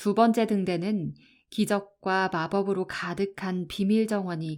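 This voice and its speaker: A woman speaks at a medium pitch in a calm, soothing tone. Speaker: audiobook narrator. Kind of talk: audiobook reading.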